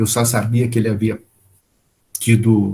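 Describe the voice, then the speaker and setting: A man's dark, mellow, somewhat breathy voice at a fairly slow pace. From Brazil, interior of São Paulo state. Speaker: spiritist lecturer. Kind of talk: lecture.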